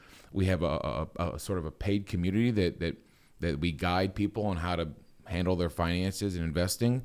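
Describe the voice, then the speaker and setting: A man with an American accent speaks at a fairly quick pace with very deep, low pitch and ordinary pitch variation. The recording is very clean, with a silent background. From US Midwest, Akron, Ohio area. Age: 40s. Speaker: investing YouTuber and photographer. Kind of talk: podcast interview.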